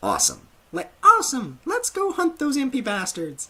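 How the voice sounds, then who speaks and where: Using a put-on character voice with extremely high pitch, a man talks at a moderate pace. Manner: overeager, enthusiastic.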